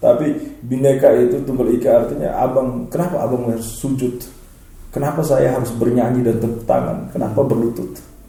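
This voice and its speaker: The speaker talks fairly quickly with an East Nusa Tenggara accent. There is noticeable background noise and audible room echo. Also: man. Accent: eastern Indonesian (NTT) dialect. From eastern Indonesia (NTT). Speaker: lecturer and organization leader, political talk show guest. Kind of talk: casual talk-show discussion.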